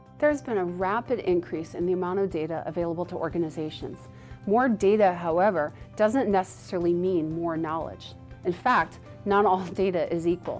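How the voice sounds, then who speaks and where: With faint music in the background, a woman speaks at a fairly quick pace and fairly low pitch, using ordinary pitch variation. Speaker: conference speaker. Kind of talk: promotional explainer to camera. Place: studio.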